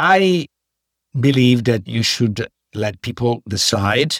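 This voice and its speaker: With an Italian accent, a man at medium pitch speaks with lively intonation in a dry, close sound with no echo. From Italy (Padua, Veneto). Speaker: economics professor. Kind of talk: interview.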